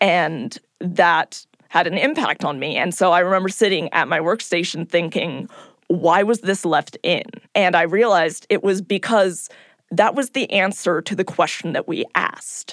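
In a normal speaking voice and with an American accent, a woman talks at a moderate pace and medium pitch with ordinary pitch variation, the sound dry and close with no echo. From California. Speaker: podcast producer. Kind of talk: reflective interview.

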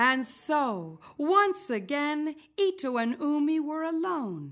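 The voice moves at a very slow pace with a gentle tone and very wide pitch swings. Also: woman. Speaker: storyteller. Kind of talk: folk tale narration with cello accompaniment. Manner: gentle, measured storytelling cadence.

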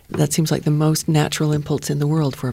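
Words come out fairly quickly against noticeable background noise. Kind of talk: panel discussion.

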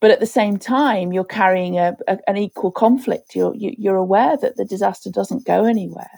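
A woman speaks at a medium pitch with ordinary pitch variation, recorded with a dry, close sound and no echo. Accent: Liverpool. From Liverpool, England. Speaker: disaster recovery expert. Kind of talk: interview.

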